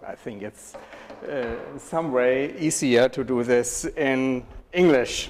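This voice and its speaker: In a German accent, a man talks very slowly at a medium pitch with fairly even intonation, his loudness swinging widely over noticeable background noise. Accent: German accent, non-native English. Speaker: professor. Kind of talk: lecture. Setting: university lecture hall with audience.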